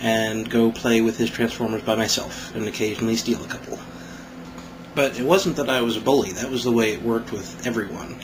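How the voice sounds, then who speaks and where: The voice moves at a fairly quick pace with ordinary pitch variation. Noticeable background noise runs underneath. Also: man, medium pitch for a man. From Kansas. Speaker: toy reviewer. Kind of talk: casual talk to camera. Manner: smug.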